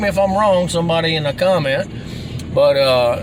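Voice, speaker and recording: A man with a strong Southern US accent, animated tone and moderate pace, amid noticeable background noise and audible room echo. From US South, Alabama. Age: 40s. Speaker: sports commentary vlogger. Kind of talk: casual monologue.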